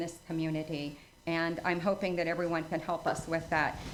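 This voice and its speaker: Audible room echo surrounds a woman who speaks at a fairly quick pace. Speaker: charity volunteer presenter. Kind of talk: presentation to town council. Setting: council meeting.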